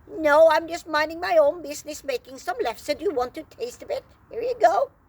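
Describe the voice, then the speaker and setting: A woman puts on a squeaky character voice at an extremely high pitch with very wide pitch swings. She goes at a fairly quick pace with big swings in loudness. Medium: read story.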